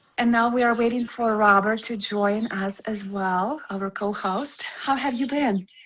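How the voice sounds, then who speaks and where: Speaking at a fairly slow pace with a non-native accent, a woman keeps a fairly high pitch and fairly even intonation. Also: hardly any pauses. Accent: foreign. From Ukraine. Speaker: podcast host. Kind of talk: podcast interview.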